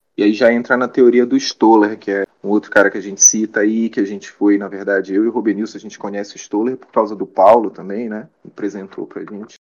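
A man rushes at a very fast pace with hardly any pauses, using a fairly low pitch, monotone, flat intonation and big swings in loudness. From Belém, Pará, Brazil. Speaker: psychology researcher. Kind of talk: interview.

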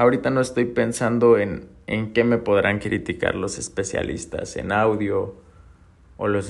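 Vocal fry colors a man's speech at a moderate pace. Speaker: podcast host, entrepreneur. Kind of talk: personal monologue. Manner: halting, repeats words.

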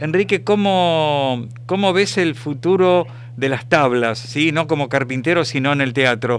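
With a Rioplatense accent, a man speaks at a fairly slow pace in a fairly high pitch and very even loudness. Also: ordinary pitch variation. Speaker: radio host. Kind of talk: interview.

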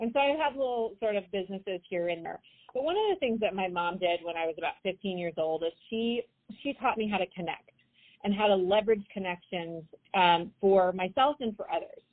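An American accent marks this woman's ordinary speaking voice, pitched at a medium level. She talks at a fairly quick pace with lively intonation. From US West, Idaho. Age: 40s. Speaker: entrepreneur, event network founder. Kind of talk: interview. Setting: phone call.

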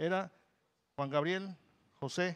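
This man has a high pitch and fairly even intonation. He speaks at a very slow pace. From Campeche, Mexico. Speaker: band musician. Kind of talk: interview.

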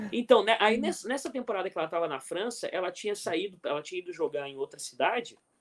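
The man speaks at a fairly quick pace with hardly any pauses. His pitch is high. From Brazil. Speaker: volleyball coach. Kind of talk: casual chat.

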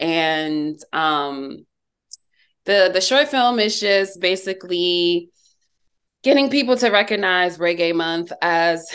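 Against a quiet background, a woman with an American accent talks in an unremarkable speaking voice, her pitch fairly low and her intonation lively. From US Northeast (New Jersey/New York area). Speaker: magazine writer and filmmaker. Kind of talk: interview.

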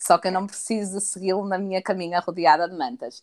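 A woman with a European Portuguese accent is heard in a dry, close sound with no echo. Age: 20s. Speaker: podcast co-host. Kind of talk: casual chat.

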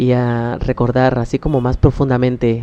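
A man speaks in a dark, mellow tone with a Mexican accent. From Mexico, Oaxaca. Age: 20s. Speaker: podcaster. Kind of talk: personal storytelling. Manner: halting.

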